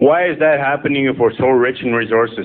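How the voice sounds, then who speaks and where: Here a man talks at a fairly quick pace and a medium pitch. Noticeable background noise is present. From northern Saskatchewan, Canada. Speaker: political candidate. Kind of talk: campaign speech.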